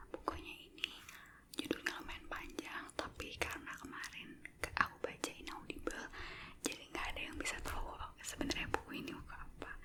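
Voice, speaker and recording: Someone whispers at a fairly quick pace. Noticeable background noise runs underneath. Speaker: ASMR creator. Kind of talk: casual talk to camera. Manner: whispered.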